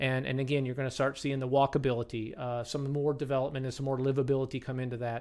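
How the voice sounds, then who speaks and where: Very fast and at a medium pitch, a man talks in a Southern US accent with ordinary pitch variation. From Kentucky. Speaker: mayor. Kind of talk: casual interview.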